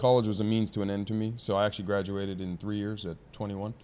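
This man has a plain, everyday voice with an American accent, fairly low pitch and a fairly quick pace. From San Diego, US West Coast. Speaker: business founder. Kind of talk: casual interview. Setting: studio.

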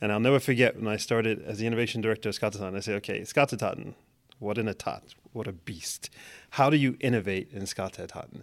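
In a very clean recording with a silent background, a man with a New York accent talks at a very fast pace, medium in pitch and fairly even in intonation. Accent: New York American English. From New York City (Manhattan). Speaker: technology executive. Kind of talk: interview.

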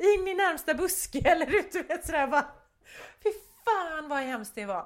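A woman talks at a moderate pace. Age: 50s. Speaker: podcast co-host, photographer. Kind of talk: casual chat.

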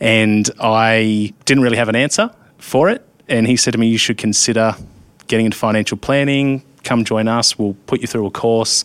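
With an Australian accent, a man speaks in monotone, flat intonation at very even loudness. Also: medium pitch for a man, moderate pace. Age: 30s. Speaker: insurance risk adviser. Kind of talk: casual interview.

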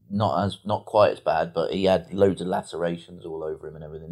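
In an English accent, a man rattles along at a very fast pace. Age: 40s. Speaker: B&B owner and podcast co-host. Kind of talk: casual chat.

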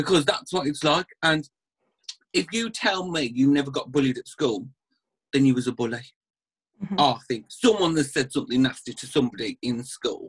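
Somewhat breathy and fairly high-pitched, a man talks at a moderate pace with lively intonation and long, frequent pauses. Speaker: aesthetics practitioner and TV personality. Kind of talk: casual chat. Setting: video call, drinking wine during lockdown. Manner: relaxed, swears casually.

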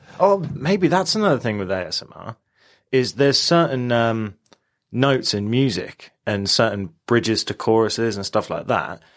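A man with a British accent speaks at medium pitch and a moderate pace, his loudness swinging widely in a very clean recording with a silent background. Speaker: podcast co-host. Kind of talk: casual chat.

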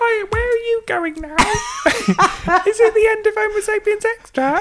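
At a fairly slow pace, a put-on character voice speaks at an extremely high pitch. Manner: wooden, puppet-like.

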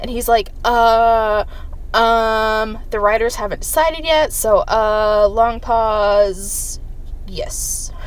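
In a room with audible echo, a woman talks at a very slow pace, her fairly high pitch showing ordinary variation. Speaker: podcast host. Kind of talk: casual recap monologue. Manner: casual with frequent fillers.

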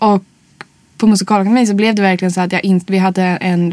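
Flat, monotone speech from a woman at medium pitch and a fairly quick pace. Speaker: singer and actress. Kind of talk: casual interview chat.

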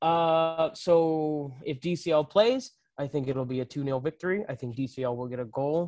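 Against a quiet background, a man with an ordinary speaking voice talks at a fairly slow pace with ordinary pitch variation. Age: 20s. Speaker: soccer podcast co-host. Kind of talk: casual chat.

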